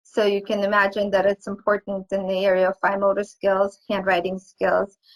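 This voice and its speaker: A woman with a non-native accent is heard in a dry, close sound with no echo. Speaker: pediatric occupational therapist. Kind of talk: webinar lecture. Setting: online webinar. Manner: halting.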